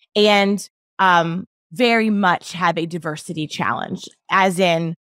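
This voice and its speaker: A woman with a Mid-Atlantic American accent talks at a fairly low pitch with ordinary pitch variation, the sound dry and close with no echo. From Baltimore, US. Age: 40s. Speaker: podcast host. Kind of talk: interview. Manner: animated.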